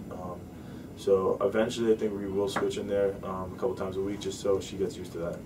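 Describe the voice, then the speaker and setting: A man talks very fast at a fairly low pitch, in a monotone, flat intonation. The room echo is audible. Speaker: mixed martial arts fighter. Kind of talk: interview. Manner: casual, halting with fillers.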